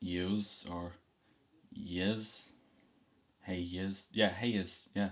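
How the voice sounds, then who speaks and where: Pausing long and often, a man with a very deep, low pitch speaks at a very slow pace in a monotone, flat intonation. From Dublin, Ireland. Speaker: vlogger. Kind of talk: casual talk to camera. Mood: relaxed, playful. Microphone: webcam.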